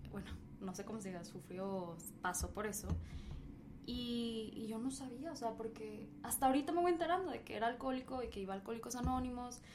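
Speaking at a fairly quick pace, a woman with a fairly high pitch and lively intonation is heard over noticeable background noise and audible room echo. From Mexico. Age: young. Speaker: podcast host. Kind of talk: casual chat. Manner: animated.

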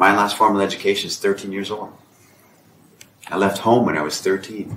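A man with a fairly low pitch talks at a moderate pace in a flat monotone, leaving long, frequent pauses amid noticeable background noise. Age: 50s. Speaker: author. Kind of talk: casual chat.

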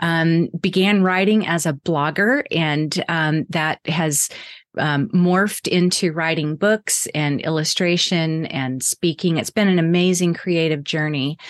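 A woman with an American accent uses a normal speaking voice at a fairly slow pace with fairly even intonation. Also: fairly low pitch for a woman. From Texas. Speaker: artist and author. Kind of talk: interview chat.

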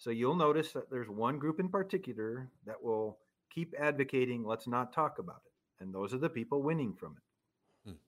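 Here a man uses a plain, everyday voice at medium pitch and a fairly quick pace. His intonation is lively, with big swings in loudness. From US Midwest, small town in central Minnesota. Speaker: sociologist and author. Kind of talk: interview conversation.

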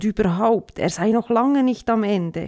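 A woman speaks at medium pitch with a dark, mellow tone on a very clean recording with a silent background. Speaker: radio commentator. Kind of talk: satirical opinion commentary.

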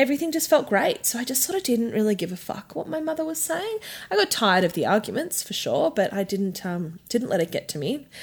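A woman with an Australian accent speaks at a fairly high pitch in very wide pitch swings. The recording is very clean, with a silent background. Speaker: sex worker podcast host. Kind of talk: casual chat.

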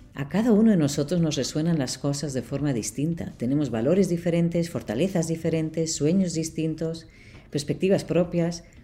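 A woman's dark, mellow voice at a fairly low pitch, with ordinary pitch variation and a moderate pace. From Barcelona, Spain. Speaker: podcast host and leadership coach. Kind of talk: solo podcast monologue.

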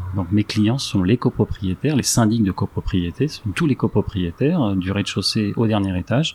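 This is an ordinary speaking voice, delivered at a moderate pace with ordinary pitch variation. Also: man. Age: 40s. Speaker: real estate investor, company director. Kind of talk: interview.

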